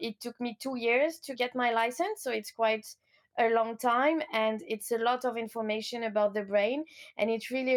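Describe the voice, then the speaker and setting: A woman with a French accent and a high pitch speaks at a moderate pace with ordinary pitch variation, in a very clean recording with a silent background. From France, Lyon. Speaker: coach. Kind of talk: interview.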